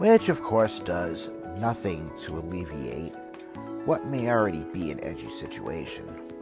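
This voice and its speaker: Over music in the background, a man speaks at a fairly slow pace in a very deep, low voice with very wide pitch swings. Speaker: author narrating his own book. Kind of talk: audiobook-style self-help narration, reading a book chapter.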